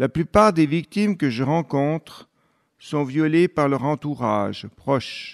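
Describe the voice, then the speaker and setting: Speaking at a very slow pace, a man uses a fairly high pitch, and the sound is dry and close with no echo. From Switzerland, Fribourg. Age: 60s. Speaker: abuse survivor and whistleblower, deacon. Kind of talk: testimony. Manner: formal.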